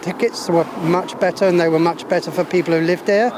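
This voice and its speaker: A man speaks at a high pitch with fairly even intonation amid noticeable background noise. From London and Isle of Wight, England. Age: 70s. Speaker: local resident, street interviewee. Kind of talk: street interview. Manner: hesitant, many fillers.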